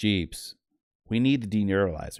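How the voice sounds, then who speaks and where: A man's put-on character voice, fairly low in pitch, at a moderate pace with ordinary pitch variation, dry and close with no echo. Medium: read story.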